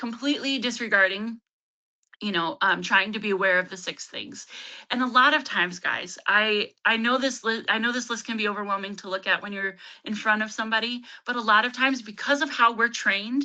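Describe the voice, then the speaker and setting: A woman speaks at a fairly quick pace with a fairly high pitch. Her tone is bright and sharp, with ordinary pitch variation. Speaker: trauma-informed care trainer and counseling consultant. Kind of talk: webinar presentation. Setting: online webinar. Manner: fast.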